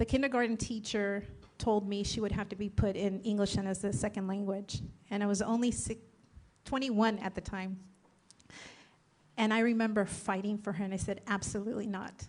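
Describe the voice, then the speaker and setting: Speaking in a Spanish accent, a woman with a medium pitch moves at a fairly quick pace with flat, monotone intonation and long, frequent pauses. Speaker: political candidate. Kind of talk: candidate forum answer. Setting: public forum at a college.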